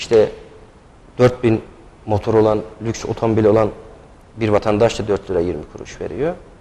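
A man's fairly low voice at a moderate pace, with long, frequent pauses and ordinary pitch variation. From Niksar, Tokat, Turkey; Tokat, Turkey. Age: 30s. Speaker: candidate, lawyer. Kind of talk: TV interview. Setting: TV studio. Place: studio. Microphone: lapel.

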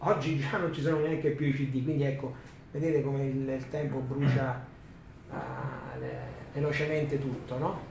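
Flat, monotone delivery with long, frequent pauses, audible room echo and light background noise. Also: man, fairly high pitch for a man, moderate pace. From Rome, Italy; Italy. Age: 50s. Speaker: DJ and author; DJ. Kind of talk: talk to students. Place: classroom.

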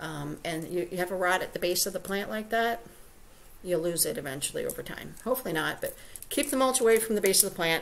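Over light background noise, a woman talks at a fairly quick pace with lively intonation. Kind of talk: live stream tutorial. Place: home room. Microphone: webcam.

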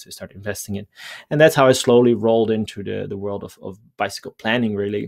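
A man with a Dutch accent and a fairly low pitch, against a quiet background. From Netherlands. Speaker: mobility planning guest. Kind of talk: interview. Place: home room. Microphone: headset.

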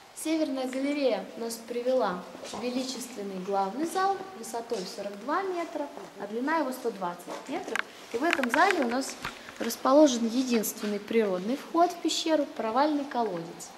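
A woman with a high voice at a moderate pace, over noticeable background noise. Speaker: cave tour guide. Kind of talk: guided tour explanation. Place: tunnel cave.

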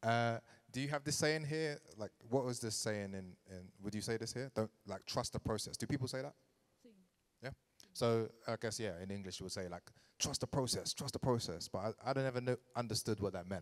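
A man with a London accent at a medium pitch, against a quiet background. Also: ordinary pitch variation, fairly quick pace. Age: 30s. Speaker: DJ and artist manager giving a lecture; DJ, artist manager giving a lecture. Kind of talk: lecture. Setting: venue with live audience. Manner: casual, many fillers. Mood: grateful, reflective. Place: hall. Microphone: handheld.

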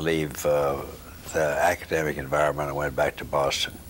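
With a Southern US accent, a man talks in a very deep, low pitch. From US South, Knoxville, Tennessee. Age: 80s+. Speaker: retired neurosurgeon and professor. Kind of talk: oral history interview. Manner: halting. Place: home room. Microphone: lapel.

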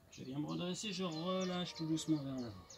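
A fairly quick delivery over noticeable background noise. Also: man. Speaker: fitness instructor. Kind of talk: exercise tutorial instructions. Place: garden. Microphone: camera far.

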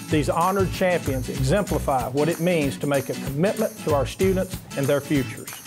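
Clear music plays in the background as a man talks with a fairly high pitch. He moves at a fairly quick pace with lively intonation and hardly any pauses. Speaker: former board chairman. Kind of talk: event invitation announcement. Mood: warm, upbeat. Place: classroom.

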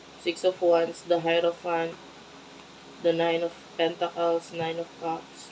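The voice is monotone, with flat intonation, and moves at a very slow pace. Noticeable background noise runs behind it. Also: woman, fairly low pitch for a woman. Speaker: tarot reader. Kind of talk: tarot reading to camera. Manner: kept quiet, not loud.

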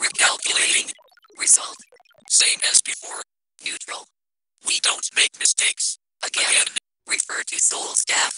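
A raspy, put-on character voice moves at a moderate pace. Long, frequent pauses break up the lines. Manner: monotone, clipped.

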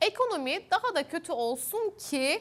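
A woman speaks with very wide swings in pitch. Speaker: TV news host; news anchor. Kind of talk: TV political panel moderation. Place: studio. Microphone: lapel.

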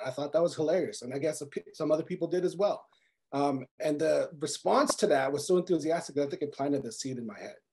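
A man with a Canadian accent, very fast-paced, with ordinary pitch variation, against a quiet background. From Quebec. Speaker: comic book writer. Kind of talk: panel discussion. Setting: video call. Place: home room. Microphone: video call.

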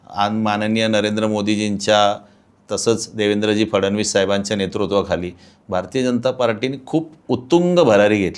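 A plain, everyday voice comes through with ordinary pitch variation. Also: man, fairly low pitch for a man. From Pune, Maharashtra (east Pune). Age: 50s. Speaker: local politician. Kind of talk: interview.

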